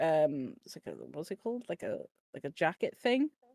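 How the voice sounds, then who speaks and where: A woman's voice in a Welsh accent at a moderate pace, with very wide pitch swings, dry and close with no echo, on a very clean recording with a silent background. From Wales. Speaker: podcast panelist, nightclub bouncer. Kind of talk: casual chat. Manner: halting, many fillers.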